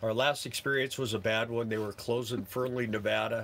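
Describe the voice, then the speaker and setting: This man's medium-pitched voice moves at a moderate pace. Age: 60s. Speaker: full-time RV-er and work camper. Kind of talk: live stream Q&A. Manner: casual, halting.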